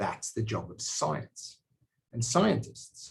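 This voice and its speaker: A man with an Australian accent, medium pitch and vocal fry. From Australia, South Sydney. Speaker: biotech company executive and scientist. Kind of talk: personal talk to camera. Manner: hesitant with fillers.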